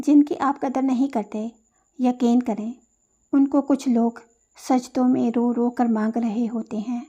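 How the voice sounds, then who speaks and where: The woman's voice is high-pitched with a dark, mellow tone and fairly even intonation. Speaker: poetry reciter. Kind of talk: poetry reading.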